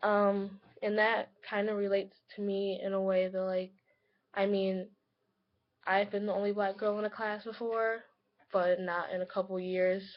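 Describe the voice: Speaking at a fairly slow pace, a woman holds a medium pitch with little pitch movement.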